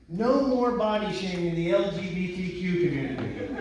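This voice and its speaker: A man with an American accent talks at a high pitch with lively intonation. Audible room echo and noticeable background noise surround him. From New Jersey. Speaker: stand-up comedian. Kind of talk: stand-up. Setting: stage with audience. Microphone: filmed from backstage, poor audio.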